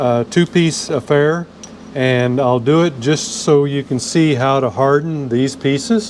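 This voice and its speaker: The speech has ordinary pitch variation. Background noise is noticeable throughout. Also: man. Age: 70s. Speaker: motorcycle restorer and machinist. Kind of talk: workshop tutorial. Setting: workshop. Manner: casual, with frequent fillers.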